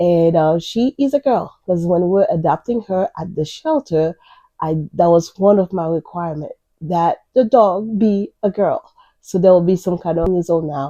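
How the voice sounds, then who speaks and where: Fairly slow and lively in intonation, a woman with a Haitian accent speaks in a dark, mellow, fairly low voice, recorded dry and close with no echo. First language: Haitian Creole / French. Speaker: crochet YouTuber. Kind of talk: casual vlog introduction.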